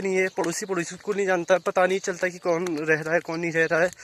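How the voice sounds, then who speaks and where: A man's high, monotone voice with flat intonation at a moderate pace, dry and close with no echo. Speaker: village vlogger. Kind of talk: casual vlog narration. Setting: outdoors in village. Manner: hesitant with fillers.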